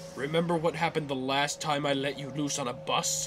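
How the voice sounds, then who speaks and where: A man's put-on character voice, fairly high in pitch, over loud background noise. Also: fairly quick pace. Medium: fan dub.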